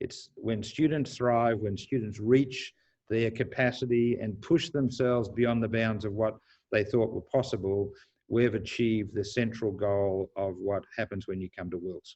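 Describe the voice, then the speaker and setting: Against a quiet background, a man with an Australian accent speaks at a moderate pace and medium pitch with fairly even intonation. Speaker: university president. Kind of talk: panel talk to incoming students.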